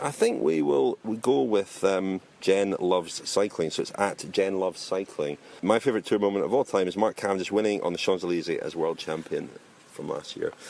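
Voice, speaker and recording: Here a man talks with a Scottish accent. He keeps a fairly quick pace and ordinary pitch variation. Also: fairly low pitch for a man. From Scotland. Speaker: cycling podcast host. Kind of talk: casual chat.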